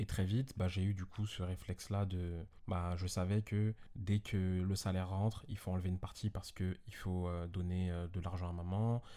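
This man speaks at a moderate pace in a very deep, low pitch, his tone dark and mellow and his intonation flat and monotone, on a very clean recording with a silent background. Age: 20s. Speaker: podcast guest, host's friend. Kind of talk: casual chat.

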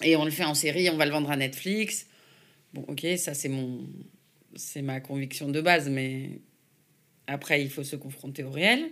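The speech moves fairly slowly with fairly even intonation, long and frequent pauses, and big swings in loudness. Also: woman, very deep, low pitch for a woman. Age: 40s. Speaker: film and TV producer. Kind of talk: interview conversation. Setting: office.

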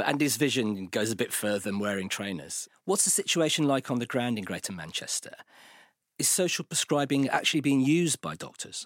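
A man speaks at a medium pitch with a British accent, at a fairly quick pace. His pitch swings very widely. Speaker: podcast host and editor. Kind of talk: scripted narration.

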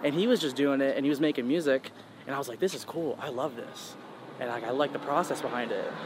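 Amid noticeable background noise, a man with an American accent talks at a very fast pace in a fairly high voice with ordinary pitch variation. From New York and North Carolina. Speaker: music producer and DJ. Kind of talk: casual interview.

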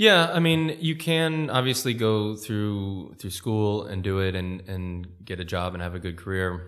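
A man with an American accent and a fairly low pitch speaks with very wide pitch swings and hardly any pauses, with audible room echo. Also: fairly slow pace. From California. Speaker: tech entrepreneur. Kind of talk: interview. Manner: halting.

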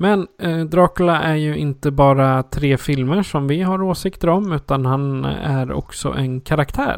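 Delivered at a fairly slow pace with hardly any pauses, an unremarkable speaking voice carries ordinary pitch variation in a dry, close sound with no echo. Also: man, fairly high pitch for a man. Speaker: podcast host. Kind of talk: casual chat.

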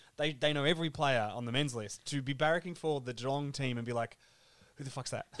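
A man talks very fast with an Australian accent. His pitch is fairly high and his intonation fairly even. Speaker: podcaster and football fan. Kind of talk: casual chat. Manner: joking, self-deprecating.

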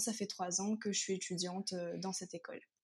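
The delivery is monotone, with flat intonation and a somewhat breathy sound. The pace is moderate. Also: woman. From Réunion, Sainte-Suzanne (east of the island). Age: 20s. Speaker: university student. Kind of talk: interview conversation.

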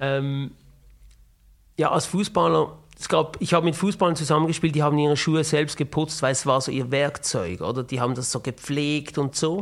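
On a very clean recording with a silent background, a man speaks in a plain, everyday voice at a fairly high pitch and moderate pace, with ordinary pitch variation. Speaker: podcast host. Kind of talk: interview.

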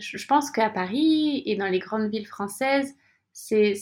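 With a fairly high pitch and ordinary pitch variation, a woman talks at a fairly slow pace. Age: 30s. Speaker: yoga teacher and coach, former YouTuber. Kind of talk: interview. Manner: smiles a lot while talking; hesitant, repeats words.

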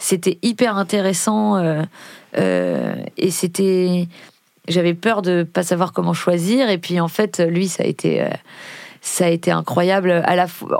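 A woman's fairly low voice at a very slow pace, with fairly even intonation, long, frequent pauses, and a very clean recording with a silent background. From Paris region, France. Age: 30s. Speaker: rapper and actress. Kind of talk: casual interview. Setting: studio.

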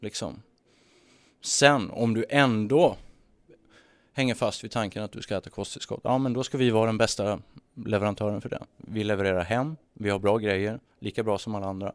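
In a very clean recording with a silent background and a dry, close sound with no echo, a man with a plain, everyday voice speaks at a moderate pace, fairly low in pitch with ordinary pitch variation. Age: 30s. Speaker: entrepreneur. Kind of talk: casual chat. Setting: studio.

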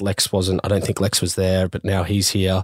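A man with an Australian accent at a moderate pace, the sound dry and close with no echo, on a very clean recording with a silent background. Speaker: podcast host. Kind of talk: casual chat.

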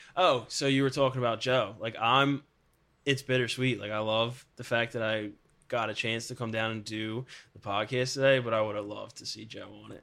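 On a very clean recording with a silent background, a man with a bright, sharp tone speaks at a medium pitch and a fairly quick pace, his intonation fairly even. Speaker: podcast guest. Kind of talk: casual chat. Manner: joking, casual.

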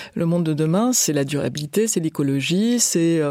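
A woman speaks in a normal speaking voice at a fairly low pitch. Her pace is fairly slow. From France. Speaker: business executive. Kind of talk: interview.

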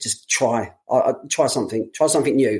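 A man talks at a moderate pace. He has a London accent. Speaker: running coach. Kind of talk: casual chat.

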